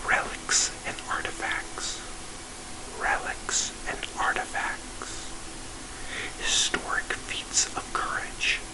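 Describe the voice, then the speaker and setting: A man whispers very slowly, leaving long, frequent pauses, with noticeable background noise around him. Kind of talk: ASMR book reading. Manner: whispered, soft-spoken.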